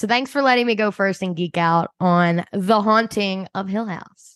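Heard against a quiet background in a dry, close sound with no echo, the speaker uses a Philadelphia accent, moderate pace and ordinary pitch variation. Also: woman. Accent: Philadelphia-area. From US, Delaware County, Pennsylvania. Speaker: podcast co-host. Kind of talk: casual chat.

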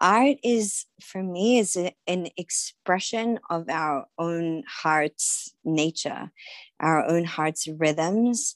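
In a dry, close recording with no echo and a quiet background, a woman with a fairly low voice speaks very slowly, her intonation lively. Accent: Australian. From Australia, Sydney. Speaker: author and yoga healer. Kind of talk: interview conversation.

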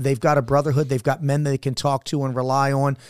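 This man has a normal speaking voice with a fairly high pitch. The sound is dry and close, with no echo. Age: 50s. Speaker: former Navy SEAL and leadership mentor. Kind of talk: casual chat.

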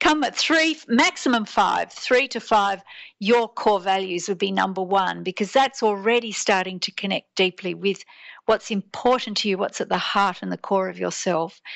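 Ordinary pitch variation in an Australian accent. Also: woman, medium pitch for a woman, moderate pace. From Australia, Sydney. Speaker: teacher and transformational coach. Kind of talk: interview.

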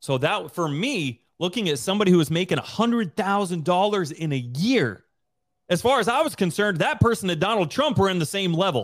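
In an American accent, the animated voice moves at a fairly quick pace with very wide pitch swings on a very clean recording with a silent background. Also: man, high pitch for a man. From US, southeast Idaho. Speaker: real estate investor and Air Force veteran. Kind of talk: interview.

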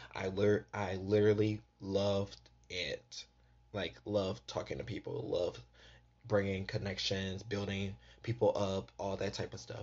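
A man's animated, fairly low voice with vocal fry. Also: ordinary pitch variation. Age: 20s. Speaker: podcast host. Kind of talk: casual solo podcast episode. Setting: recorded on phone. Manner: animated, casual.

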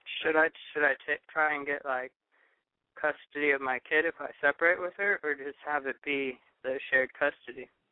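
This man has an ordinary speaking voice with a fairly high pitch. He speaks at a moderate pace with fairly even intonation. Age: 20s. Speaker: caller. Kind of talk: call-in advice request. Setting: phone call.

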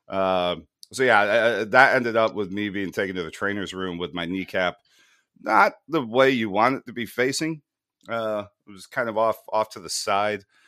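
In a very clean recording with a silent background, a man with an American accent speaks at a fairly low pitch with ordinary pitch variation. His tone is bright and sharp, his pace moderate, and his loudness swings a lot. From USA. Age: 30s. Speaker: podcast host. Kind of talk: casual chat.

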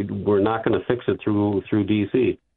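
A man speaks with a Wisconsin accent. His pitch sits fairly low. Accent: Wisconsin Upper Midwest. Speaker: caller. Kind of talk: casual talk radio call. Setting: phone call.

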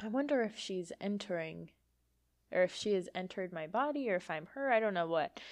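Against a quiet background, an ordinary speaking voice moves at a fairly quick pace with lively intonation. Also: woman, medium pitch for a woman. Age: 20s. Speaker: psychic medium podcast host. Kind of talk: casual solo monologue.

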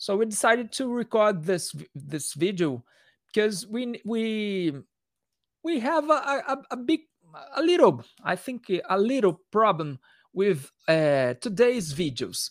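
A man with a Portuguese accent and a high pitch speaks at a fairly slow pace with very wide pitch swings, on a very clean recording with a silent background. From Brazil. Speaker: metal musician. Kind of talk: interview. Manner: halting.

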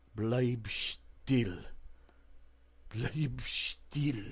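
A man speaks in a put-on character voice. His pitch sits in the medium range. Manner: menacing, low.

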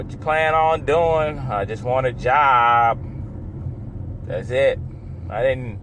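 Very slowly, with long, frequent pauses, a man speaks at a medium pitch with ordinary pitch variation. Room echo can be heard. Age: 30s. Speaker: solo podcaster and pizza delivery driver. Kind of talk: casual monologue. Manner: rambling, halting with fillers.

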